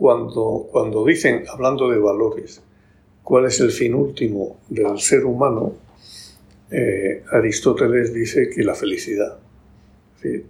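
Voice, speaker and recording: This man speaks at a very slow pace. Long pauses come often. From Spain, Murcia region. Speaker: bank executive and author. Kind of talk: casual interview.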